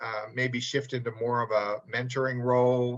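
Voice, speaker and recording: Speaking fairly slowly, a man uses a medium pitch and a bright, sharp tone. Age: 60s. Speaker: publishing company president. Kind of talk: interview. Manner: hesitant, many fillers.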